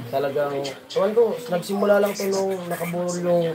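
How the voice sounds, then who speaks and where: Amid noticeable background noise and audible room echo, a man speaks at a moderate pace with lively intonation. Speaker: livestream vlogger. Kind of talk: casual livestream chat with viewer shoutouts. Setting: live stream.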